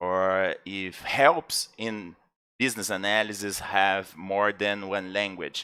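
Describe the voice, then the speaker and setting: A man speaks at a very slow pace in a Brazilian accent. His tone is bright and sharp, and the recording is very clean with a silent background. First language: Portuguese. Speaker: podcast co-host, interviewer. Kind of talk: interview. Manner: halting.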